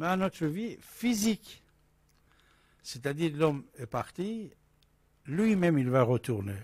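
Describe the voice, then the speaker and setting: Very wide pitch swings mark a somewhat breathy voice. The pace is very slow. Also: man. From Iran. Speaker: radio host. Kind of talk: call-in talk radio. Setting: studio. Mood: calm, reflective. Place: studio. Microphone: studio mic.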